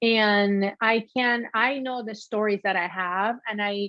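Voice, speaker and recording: A woman with a Peruvian accent, medium pitch and fairly even intonation. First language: Spanish. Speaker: shoe designer, former sports anchor. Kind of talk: interview conversation.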